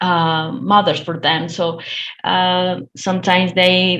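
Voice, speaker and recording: A woman talks very slowly at a medium pitch. She has a Spanish accent. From Colombia. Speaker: domestic violence counsellor. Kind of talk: webinar discussion. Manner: halting, many fillers.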